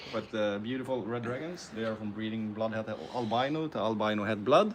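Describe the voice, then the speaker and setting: Here a man speaks with a Swedish accent. His pace is fairly quick and his pitch variation ordinary. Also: medium pitch for a man. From Sweden. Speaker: snake breeder. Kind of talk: live stream Q&A.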